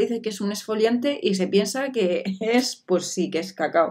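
A moderate pace and ordinary pitch variation come through against a quiet background. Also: woman. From Spain. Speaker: beauty vlogger. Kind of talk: product review vlog. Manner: animated. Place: home room.

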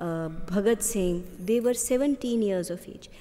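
A woman with an Indian accent talks at a fairly slow pace, her pitch fairly high and her pitch variation ordinary. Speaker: government secretary. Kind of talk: formal welcome address. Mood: earnest, inspirational. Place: hall. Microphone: podium.

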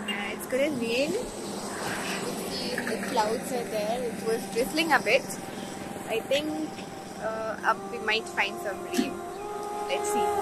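A woman's very slow voice with long, frequent pauses, dry and echo-free, over background music. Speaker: travel vlogger. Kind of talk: casual vlog chat. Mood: cheerful, relaxed. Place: street. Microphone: phone near.

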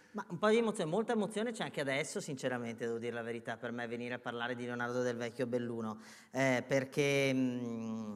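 A man with a Venetian accent and medium pitch over a quiet background. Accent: Veneto. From northern Italy, Veneto (Treviso); Veneto, Italy. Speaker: journalist and book author; journalist. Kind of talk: on-stage interview. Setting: theatre stage with audience. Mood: moved, earnest. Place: stage. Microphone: lapel.

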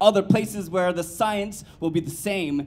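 The voice belongs to a man and sits at a high pitch. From Hawaii. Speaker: poet. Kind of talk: spoken word performance. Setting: stage with audience. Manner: rhythmic and emphatic. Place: stage. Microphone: handheld.

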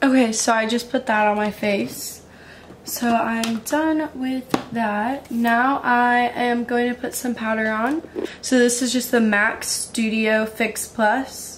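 Over light background noise, a woman speaks very slowly with monotone, flat intonation. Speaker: beauty vlogger. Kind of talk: casual makeup tutorial chat. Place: home room. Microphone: phone near.

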